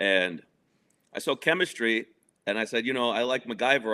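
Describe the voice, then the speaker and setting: This man talks fairly quickly. He speaks in a New York accent. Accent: New York area American. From New Jersey, near Manhattan. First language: Spanish. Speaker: guest discussing divorce. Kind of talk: casual interview.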